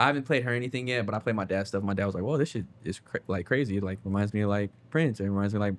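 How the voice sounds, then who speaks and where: A man with an American accent speaks in a plain, everyday voice, his pitch fairly low and its variation ordinary. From US West Coast, Bay Area. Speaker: musician, singer and producer. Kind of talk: casual interview. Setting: in-person interview, Los Angeles. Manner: casual, many fillers.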